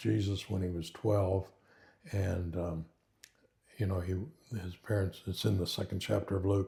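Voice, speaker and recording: A man with an American accent speaks in a very deep, low voice with a dark, mellow tone. It is somewhat breathy, with fairly even intonation. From Oklahoma and Kansas, US. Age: 80s+. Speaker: retired pastor. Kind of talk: interview, life testimony. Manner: hesitant, many fillers.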